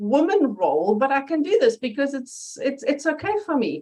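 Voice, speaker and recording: A woman speaks at a high pitch with a German accent. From Germany. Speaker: interview guest, personal development presenter. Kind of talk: interview. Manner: animated.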